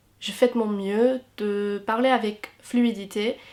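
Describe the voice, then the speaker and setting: Amid noticeable background noise, a woman speaks very slowly in a fairly high voice with monotone, flat intonation. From England. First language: English (speaking French). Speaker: YouTuber and university student. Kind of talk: Q&A vlog. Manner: hesitant with fillers.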